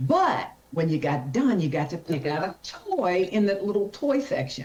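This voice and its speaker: The voice has an animated tone, heard over noticeable background noise. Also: woman. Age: 60s. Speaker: carpenter and workwear brand founder. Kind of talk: casual interview chat.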